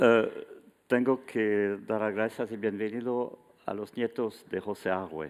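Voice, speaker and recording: A man speaks at a very slow pace in a French accent. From French Basque Country, Bayonne. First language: French (speaking Spanish). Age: 60s. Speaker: retired museum curator, art historian. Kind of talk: lecture. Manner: halting.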